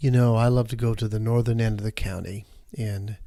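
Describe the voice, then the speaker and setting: On a very clean recording with a silent background, a man talks with an American accent. His pace is moderate. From Michigan. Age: 60s. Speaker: nonprofit CEO. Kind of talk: interview. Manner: conversational.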